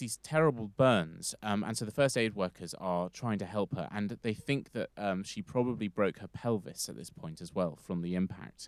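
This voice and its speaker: With a normal speaking voice, the speaker moves at a moderate pace with hardly any pauses and lively intonation, on a very clean recording with a silent background and a dry, close sound with no echo. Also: man. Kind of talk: casual chat with storytelling.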